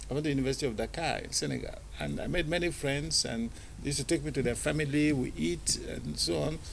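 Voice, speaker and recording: Audible room echo follows a man talking at a very fast pace. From Nigeria (born in Aba, southeast). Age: 60s. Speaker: filmmaker. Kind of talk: TV interview. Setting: TV studio.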